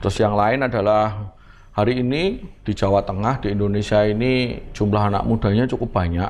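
This man has a fairly low pitch. He talks at a fairly quick pace. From Semarang, Central Java; Central Java, Indonesia. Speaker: politician and businessman; politician. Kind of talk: casual interview. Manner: animated, jokes and laughs often. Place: home room.

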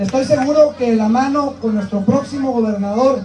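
A man's extremely high pitch, with light background noise. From Piedras Negras, Coahuila, Mexico. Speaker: congressional candidate. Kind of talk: campaign rally speech. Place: open country. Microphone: pa.

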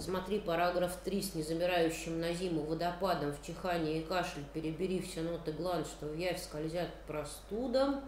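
Over noticeable background noise and audible room echo, a woman with a fairly low pitch talks at a moderate pace with hardly any pauses and ordinary pitch variation. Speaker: poet. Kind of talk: poetry reading. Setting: stage with audience.

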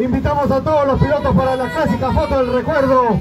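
Loud and animated, the voice moves at a fairly quick pace with ordinary pitch variation as crowd noise carries in the background. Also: man. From Peru. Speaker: awards announcer. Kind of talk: live awards ceremony announcing podium winners. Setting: outdoors at the podium with an audience and PA system. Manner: animated, loud, rallying the crowd to applaud. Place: street.

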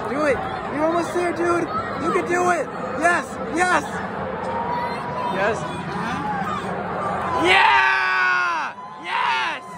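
Speech comes at a very slow pace with long, frequent pauses. The sound is dry with no echo, and crowd noise fills the background. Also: man. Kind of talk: excited cheering. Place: stadium. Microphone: phone near.

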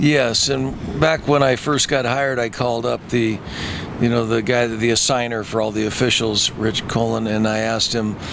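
A man talks at a moderate pace in a dry sound with no echo. Noticeable background noise runs behind him. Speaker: football coach. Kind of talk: interview answer. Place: stadium. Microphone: handheld.

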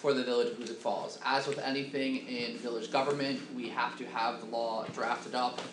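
A man's fairly quick delivery carries fairly even intonation, with noticeable background noise behind him. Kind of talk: meeting chairing, procedural announcements. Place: meeting room.

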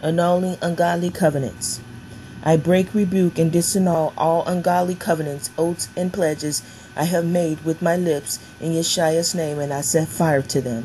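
This woman has a fairly low pitch and fairly even intonation. She speaks at a moderate pace against noticeable background noise. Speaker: prayer minister. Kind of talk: fervent deliverance prayer declaration. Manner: forceful, commanding, repetitive cadence; ends softening into reverent blessing.

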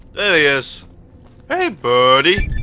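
Very slow pace with lively intonation. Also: man. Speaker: gaming video creator. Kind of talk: let's play commentary. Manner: animated, screaming at times.

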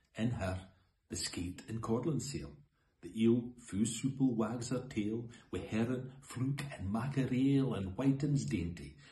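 In a Scottish accent, a man speaks at a fairly slow pace with lively intonation. Audible room echo hangs around his voice. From Scotland. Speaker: poetry reader. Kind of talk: poetry reading. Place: home room. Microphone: phone near.

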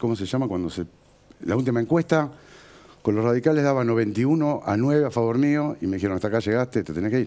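Here a man talks at a very fast pace in a medium pitch. His tone is dark and mellow, and his intonation is lively. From Argentina, Morón (Buenos Aires); Buenos Aires, Argentina. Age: 40s. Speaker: builder and real estate businessman, local politician; local politician. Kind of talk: TV interview. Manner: animated. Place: studio. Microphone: headset.

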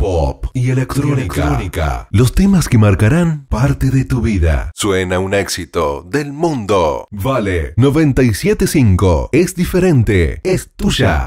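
A man speaks at a fairly slow pace with a fairly low pitch. His pitch swings very widely while his loudness stays very even. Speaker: voice-over announcer. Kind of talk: radio station imaging promo. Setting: studio. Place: studio.

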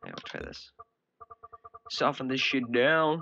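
A man speaks at a very slow pace with fairly even intonation over light background noise. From Northern Ireland. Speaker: gaming video creator; game commentator. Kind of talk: gameplay commentary. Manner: casual, rambling. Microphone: headset.

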